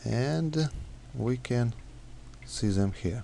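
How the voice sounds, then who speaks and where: Fairly low male voice with a dark, mellow tone, a non-native accent and lively intonation. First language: not English. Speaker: software developer. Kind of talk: tutorial. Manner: halting, many fillers.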